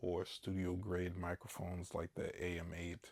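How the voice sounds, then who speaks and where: A man at a fairly slow pace. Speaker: product reviewer. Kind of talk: product review talk to camera. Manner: casual, hesitant with fillers.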